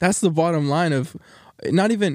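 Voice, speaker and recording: A man speaks at a moderate pace with an energetic tone and lively intonation, his voice dry and close with no echo on a very clean recording over a silent background. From Texas. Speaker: college student podcast co-host. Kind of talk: casual chat.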